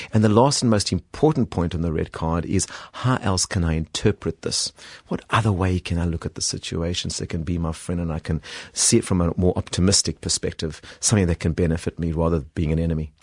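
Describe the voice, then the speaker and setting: A man with a South African accent, very deep, low pitch and a very fast pace, in a dry, close sound with no echo. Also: ordinary pitch variation, quiet background. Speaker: executive coach and author. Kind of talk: radio interview. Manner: hesitant, with fillers.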